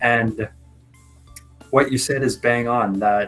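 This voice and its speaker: Over music in the background, a man speaks at a moderate pace and a medium pitch. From Canada. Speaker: freediving expert. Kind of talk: interview answer.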